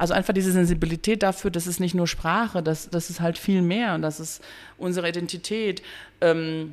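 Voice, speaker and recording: A woman talks at a fairly quick pace, fairly low in pitch with ordinary pitch variation. The recording is very clean, with a silent background. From Bosnia, raised from youth in Dortmund. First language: Bosnian (speaking German). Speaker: educator, cultural centre worker. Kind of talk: interview conversation.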